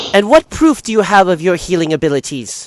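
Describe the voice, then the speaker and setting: A man puts on a character voice pitched high. He talks at a fairly quick pace. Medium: actual play. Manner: haughty, formal.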